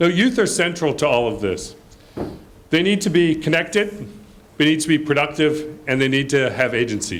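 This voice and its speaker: A fairly high-pitched man with vocal fry and lively intonation talks at a moderate pace amid audible room echo. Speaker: report presenter at a development launch. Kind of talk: presentation of research findings. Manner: loud.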